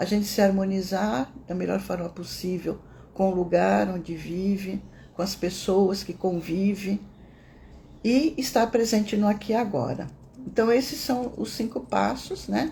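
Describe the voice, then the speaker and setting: Soft-spoken and medium in pitch, a woman speaks with a dark, mellow tone. Her intonation is lively, with vocal fry. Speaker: meditation teacher. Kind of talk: casual teaching talk; guided meditation.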